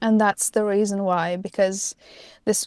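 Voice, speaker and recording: In a Latvian accent, the speaker talks fairly slowly with fairly even intonation, recorded dry and close with no echo against a quiet background. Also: woman. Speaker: pop singer-songwriter. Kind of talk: interview. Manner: halting.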